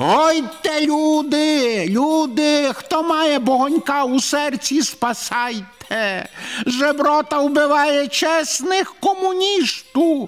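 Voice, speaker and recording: This is a put-on character voice, high-pitched and shrill. It moves at a very slow pace. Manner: screeching.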